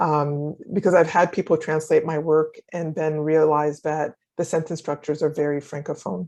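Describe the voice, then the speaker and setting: A woman's very deep, low voice with a French accent, a dark, mellow tone, fairly even intonation and hardly any pauses, over a quiet background. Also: moderate pace. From Haiti. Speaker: novelist and scholar. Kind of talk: interview.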